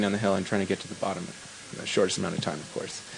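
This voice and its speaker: A man with a Canadian accent and fairly low pitch, amid noticeable background noise. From western Canada (Vancouver, British Columbia). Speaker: downhill skateboard racer. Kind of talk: post-race interview.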